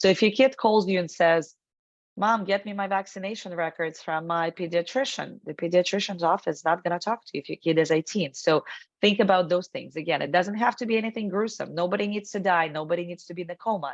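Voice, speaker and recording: A woman with a non-native accent speaks at a very fast pace with big swings in loudness. The background is quiet. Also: medium pitch for a woman, ordinary pitch variation. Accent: foreign accent, noticeable. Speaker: estate planning expert. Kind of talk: webinar presentation. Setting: video call.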